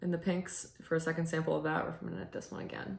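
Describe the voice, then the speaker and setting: Over noticeable background noise, a woman speaks at a very fast pace with a fairly low pitch. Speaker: knitting video host and church musician. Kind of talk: casual chat. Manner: hesitant, many fillers.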